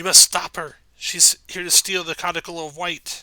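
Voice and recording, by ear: A man does a put-on character voice, high-pitched for a man. His intonation stays monotone and flat. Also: moderate pace.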